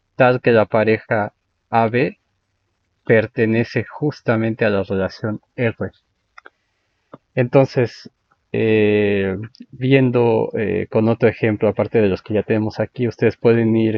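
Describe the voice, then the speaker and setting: At a fairly slow pace, a man talks in a medium-pitched voice with monotone, flat intonation. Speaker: math lecturer. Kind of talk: lecture. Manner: halting.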